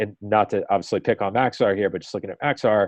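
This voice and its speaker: His pitch sits fairly low. The speaker, a man, talks with an American accent. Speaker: weather forecast discussion leader. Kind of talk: group forecast discussion on a call. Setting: conference call. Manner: casual with many fillers.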